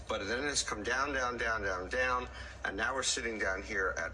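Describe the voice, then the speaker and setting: A man speaks with audible room echo. Noticeable background noise can be heard too. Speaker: economic commentator. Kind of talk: explainer interview.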